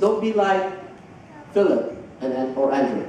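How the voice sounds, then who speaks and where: There is strong room echo and light background noise as a man speaks with very wide pitch swings. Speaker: preacher. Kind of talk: sermon. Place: church.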